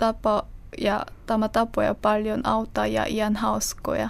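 A woman with a Korean accent speaks at a very slow pace. Her loudness stays very even. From South Korea. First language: Korean (speaking Finnish). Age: 20s. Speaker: interviewee, language learner. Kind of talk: interview. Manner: halting.

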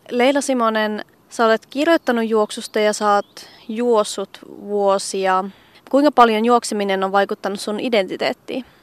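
A woman speaks in an ordinary speaking voice, fairly high in pitch with ordinary pitch variation. Her pace is fairly slow, and the sound is dry and close with no echo. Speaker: radio journalist. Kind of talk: casual interview. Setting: outdoors.

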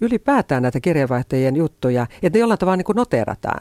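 A man at a very fast pace, with a dark, mellow tone, lively intonation and a dry, close sound with no echo. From rural Finland. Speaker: foreign correspondent. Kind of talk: interview.

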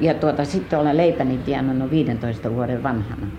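Amid noticeable background noise and audible room echo, a woman talks at a moderate pace with ordinary pitch variation. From US, Detroit (Finnish-American). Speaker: folk artist. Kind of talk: life story interview. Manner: halting.

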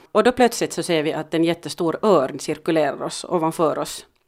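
With a Finland-Swedish accent, a woman talks at a fairly quick pace. Her voice is fairly low-pitched, with ordinary pitch variation. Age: 50s. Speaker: podcast co-host, mother. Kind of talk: casual chat.

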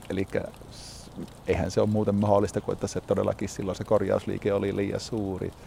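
A man speaks at a fairly low pitch with a dark, mellow tone and vocal fry. His intonation is monotone and flat. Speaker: hunting club chairman. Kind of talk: interview. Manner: hesitant with filler words.

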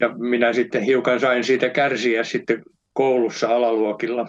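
At a fairly slow pace, a man talks in a monotone, flat delivery at a medium pitch. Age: 80s+. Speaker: son of the subject. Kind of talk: interview. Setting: phone call.

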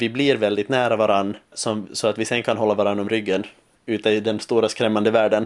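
A man with a Finland Swedish accent speaks at a moderate pace and a medium pitch, recorded very cleanly against a silent background. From Finland, Swedish-speaking Ostrobothnia (Vasa). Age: 20s. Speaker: musical theatre student. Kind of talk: interview. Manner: halting, many repetitions.

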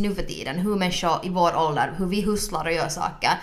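Noticeable background noise is present. The delivery is fairly quick, and the intonation fairly even. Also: woman. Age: 20s. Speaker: podcast co-host. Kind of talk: casual chat.

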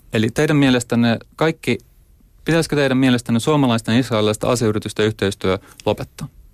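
Very fast speech comes from a man with a medium pitch. The recording is very clean with a silent background, dry and close with no echo. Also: ordinary pitch variation, very even loudness. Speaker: human rights activist. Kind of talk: debate. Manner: halting.

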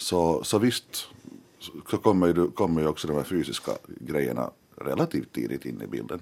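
A man speaks at a moderate pace in a very deep, low voice with vocal fry. His intonation is lively, broken by long, frequent pauses. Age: 30s. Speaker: journalist and editor-in-chief. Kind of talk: radio panel discussion. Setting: studio. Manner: halting, many repeated words.

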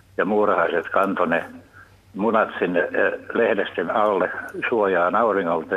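A man speaks at a fairly slow pace. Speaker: caller. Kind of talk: call-in anecdote. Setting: phone call. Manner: hesitant, many fillers.

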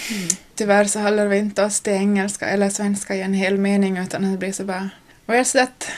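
A woman with an Ostrobothnian accent speaks at a medium pitch over noticeable background noise. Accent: Ostrobothnian Finland-Swedish. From Ostrobothnia, Finland (Nykarleby). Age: 20s. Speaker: young mother on parental leave. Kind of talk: interview.

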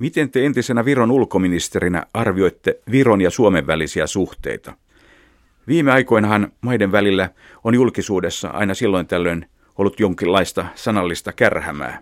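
A man with a normal speaking voice, fairly low in pitch, with lively intonation and very even loudness, in a dry, close, very clean recording with no echo and a silent background. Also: moderate pace. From Finland, Helsinki. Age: 50s. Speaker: radio journalist. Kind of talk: interview. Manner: formal.

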